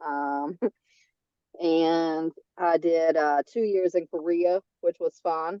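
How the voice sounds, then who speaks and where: In a strong Southern US accent, a woman speaks at a very slow pace with long, frequent pauses. Her pitch is fairly low and her intonation fairly even. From North Carolina. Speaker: veterans' agent, army veteran. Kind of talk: public meeting remarks. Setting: video call.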